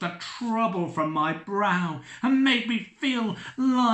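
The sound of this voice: Lively intonation runs all through this unforced reading voice.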